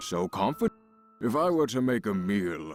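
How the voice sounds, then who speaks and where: A man puts on a character voice with a fairly low pitch. Faint music plays in the background. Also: moderate pace. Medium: video game. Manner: aloof, drawn-out, pondering.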